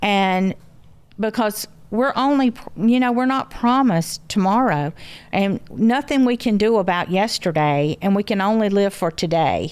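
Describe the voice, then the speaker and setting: Speaking at a moderate pace with a Southern US accent, a woman uses lively intonation at a medium pitch and keeps her loudness very even. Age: 70s. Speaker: grandmother, mother of show's family matriarch. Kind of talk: casual chat. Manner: halting.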